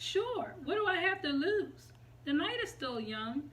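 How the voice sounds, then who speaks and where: In a put-on character voice, a woman squeaks at an extremely high pitch with very wide pitch swings, at a fairly slow pace. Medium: read story.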